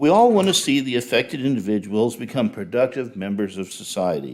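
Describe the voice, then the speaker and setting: Over a silent background in a very clean recording, a man at medium pitch talks at a moderate pace, his pitch swinging very widely, with vocal fry. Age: 60s. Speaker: public commenter, retired chemical engineer. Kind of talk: prepared public comment at city council. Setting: city council meeting. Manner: formal.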